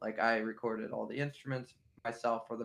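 A man is speaking. He has a western Pennsylvania accent. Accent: western Pennsylvania American. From western Pennsylvania (near Pittsburgh). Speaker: musician. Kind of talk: interview.

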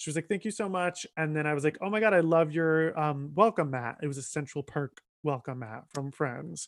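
In an animated tone, a man talks fairly quickly at a fairly high pitch with ordinary pitch variation. The recording is very clean, dry and close with no echo, and the background is silent. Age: 20s. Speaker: comedian. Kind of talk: casual chat.

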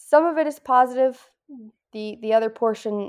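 The woman's tone is dark and mellow, and her pitch rises and falls in a normal way. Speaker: former Marine. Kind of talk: casual chat. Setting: video call.

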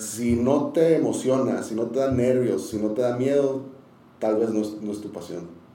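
A man speaks with ordinary pitch variation. Audible room echo and noticeable background noise surround him. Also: medium pitch for a man, moderate pace. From Tijuana, Mexico. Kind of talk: casual interview, testimony.

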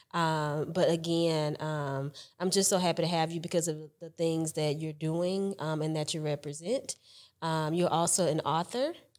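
In a very clean recording with a silent background, a woman speaks at a moderate pace in a fairly low pitch with fairly even intonation. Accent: Southern US. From Alabama (Mobile). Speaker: podcast host. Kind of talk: interview.

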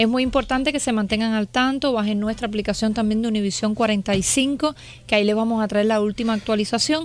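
A woman has an ordinary speaking voice with a fairly high pitch and fairly even intonation. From Cuba. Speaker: meteorologist. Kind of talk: weather report.

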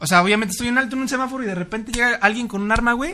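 A man with a Mexico City accent speaks in a raised, projected voice at a very fast pace. His tone is bright and sharp, with ordinary pitch variation. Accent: Mexican Spanish (Mexico City). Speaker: podcast co-host. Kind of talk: casual chat.

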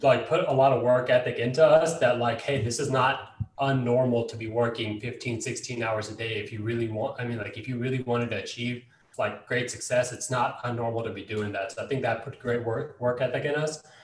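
Someone speaks at a fairly quick pace with an American accent. Noticeable background noise sits behind the voice. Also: man, medium pitch for a man. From Dallas, Texas, after early childhood in Los Angeles. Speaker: real estate investor. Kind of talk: casual interview.

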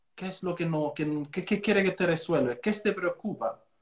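This man talks in a high voice with an Italian accent. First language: Italian (speaking Spanish). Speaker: real estate coach and trainer. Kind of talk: casual interview on an Instagram live.

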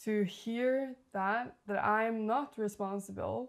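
Speaking very slowly with a Norwegian accent, a woman keeps a fairly high pitch and fairly even intonation. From Norway. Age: 20s. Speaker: life coach. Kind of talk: interview conversation; guided visualization.

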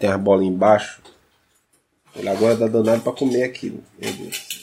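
This is a man with a medium-pitched voice. His intonation stays fairly even. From Brazil, Pernambuco (Recife). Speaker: podcaster. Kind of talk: casual chat. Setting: recording at home sharing one mic with partner.

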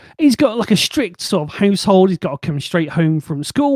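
A man with a Bristol accent, high-pitched for a man, with a dark, mellow tone, in a dry, close recording without echo, very clean against a silent background. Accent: Bristol, West Country English. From Bristol, England. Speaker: podcast host. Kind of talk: casual chat. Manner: animated, joking.

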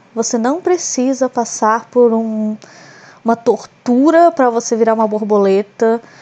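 The woman's voice sits high in pitch. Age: 20s. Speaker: podcaster. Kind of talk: casual solo monologue.

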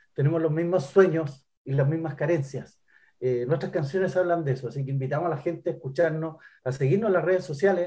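Speaking at a fairly quick pace, a man with a fairly high pitch and a dark, mellow tone shows ordinary pitch variation. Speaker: singer and guitarist. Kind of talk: interview.

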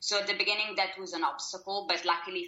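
A woman speaks with an Italian accent. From Italy. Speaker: publishing marketing assistant. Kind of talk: interview. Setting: Skype call. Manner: hesitant, many fillers.

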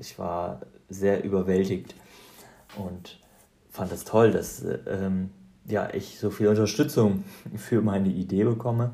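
A man talks at a fairly slow pace in a fairly low pitch. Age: 30s. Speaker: podcast host, ultrarunner. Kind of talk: casual monologue. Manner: hesitant, many fillers.

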